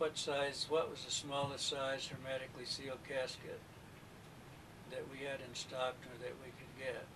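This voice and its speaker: Monotone and flat, a man's fairly high voice moves at a moderate pace with big swings in loudness. Room echo is audible. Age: 60s. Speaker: witness, mortician. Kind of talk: interview testimony. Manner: hesitant, with many fillers.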